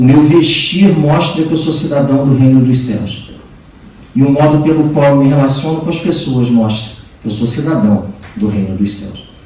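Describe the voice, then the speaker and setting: The speech moves at a moderate pace with lively intonation. Audible room echo and noticeable background noise are present. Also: man. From Brazil. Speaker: visiting preacher. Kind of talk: sermon. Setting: church.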